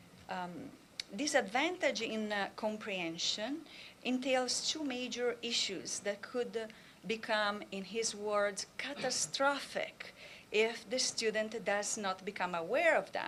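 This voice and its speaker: Speaking at a very slow pace, a woman with a strong Italian accent uses lively intonation in a fairly high pitch. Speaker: professor. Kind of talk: conference talk.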